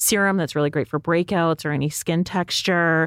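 A woman's fairly low, unremarkable speaking voice with a Canadian accent, ordinary pitch variation and a fairly quick pace, on a very clean recording with a silent background and a dry, close sound with no echo. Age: 40s. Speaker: beauty editor and podcast co-host. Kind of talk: casual chat. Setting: studio.

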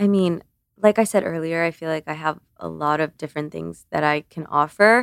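A woman speaks at a fairly quick pace in a very deep, low voice with ordinary pitch variation, recorded very cleanly and close up against a silent background, dry with no echo. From Cuba (Havana), moved to US at six. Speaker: beauty content creator. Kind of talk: casual interview chat.

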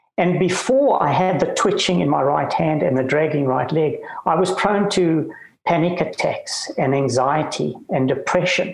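A man speaks at a moderate pace with very even loudness. Audible room echo and noticeable background noise are present. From South Africa, Cape Town. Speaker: retired lawyer and author living with Parkinson's. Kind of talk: interview. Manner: halting.

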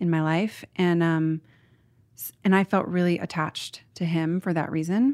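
A woman with a normal speaking voice, an American accent and a fairly low pitch, at a moderate pace on a very clean recording with a silent background. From Portland, Oregon, US. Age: 30s. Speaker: author. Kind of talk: casual chat.

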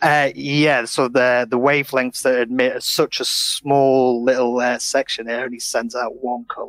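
Flat, monotone delivery at a moderate pace, in a Yorkshire accent. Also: man, medium pitch for a man. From Sheffield, northern England. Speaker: laser factory worker. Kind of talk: casual interview. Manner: halting.

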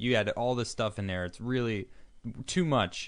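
Against a quiet background, a man with a plain, everyday voice speaks at a fairly slow pace and medium pitch. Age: 30s. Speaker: podcast co-host. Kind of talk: casual chat; reading aloud. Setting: studio.

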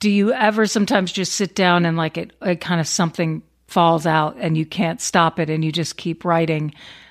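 In a plain, everyday voice, a woman speaks at a fairly quick pace with fairly low pitch, ordinary pitch variation and hardly any pauses, on a very clean recording with a silent background. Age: 40s. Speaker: podcast host. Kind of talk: interview.

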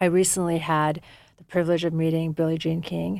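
Flat, monotone intonation comes through on a very clean recording with a silent background. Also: woman. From US (born in Afghanistan, left as infant). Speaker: wellness company co-founder and executive. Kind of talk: casual interview.

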